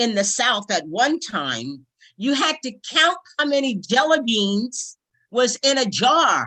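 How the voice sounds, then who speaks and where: Her tone is bright and sharp, high in pitch, with very wide pitch swings. The woman talks very slowly in an American accent. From New York (Brooklyn). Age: 70s. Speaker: civil rights organization branch president. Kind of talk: panel talk. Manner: passionate.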